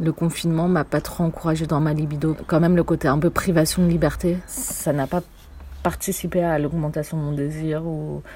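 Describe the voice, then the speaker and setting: A woman's fairly low, monotone voice at a moderate pace, with noticeable background noise. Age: 20s. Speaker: theatre company worker. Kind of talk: casual chat.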